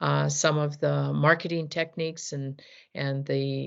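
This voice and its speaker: Here a woman speaks at a very slow pace. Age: 60s. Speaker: business founder. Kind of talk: interview. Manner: halting, with many fillers.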